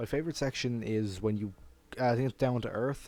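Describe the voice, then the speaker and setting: A dark, mellow voice with an Irish accent, very fast, in fairly even intonation. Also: man. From Ireland. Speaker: furry YouTuber. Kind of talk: casual Q&A monologue. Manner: casual, with filler words.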